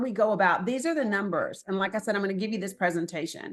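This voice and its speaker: A woman with an Appalachian accent, lively intonation and a very fast pace, over a quiet background. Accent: Southern US (Appalachian). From Northeast Tennessee / Southwest Virginia. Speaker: political organizer. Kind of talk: presentation.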